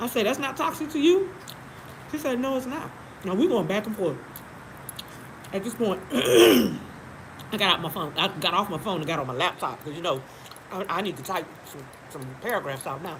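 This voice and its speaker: A woman with a medium pitch talks at a fairly quick pace, her voice swinging very widely in pitch, with long, frequent pauses, noticeable background noise, and audible room echo. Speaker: live-stream host. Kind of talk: casual chat. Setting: live stream. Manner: animated.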